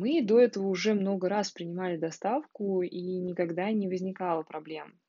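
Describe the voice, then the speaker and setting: Using a plain, everyday voice, a woman speaks at a medium pitch and a fairly slow pace. Her pitch variation is ordinary. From Russia, Moscow. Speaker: podcaster. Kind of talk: audio diary. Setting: sunlit room at home.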